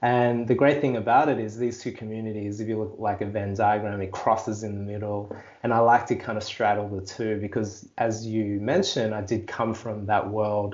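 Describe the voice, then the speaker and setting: A man's fairly low voice in an Australian accent, at a moderate pace with hardly any pauses, monotone and flat, with audible room echo. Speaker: life coach and digital creator. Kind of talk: podcast interview.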